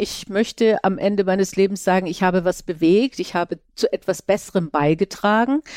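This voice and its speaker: Recorded very cleanly against a silent background, a woman with an unremarkable speaking voice talks at a moderate pace and medium pitch with ordinary pitch variation. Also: dry, close sound with no echo. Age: 60s. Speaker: podcast host. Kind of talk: interview.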